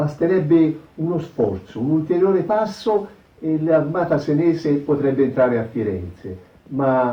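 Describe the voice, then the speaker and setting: Speaking at a fairly slow pace, a man sounds somewhat breathy, with lively intonation. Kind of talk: historical narration.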